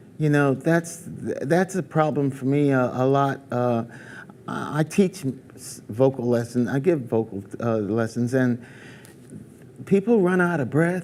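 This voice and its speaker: With an American accent and an ordinary speaking voice, a man of fairly high pitch speaks at a fairly slow pace with lively intonation. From New York, US. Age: 60s. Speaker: singer. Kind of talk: interview.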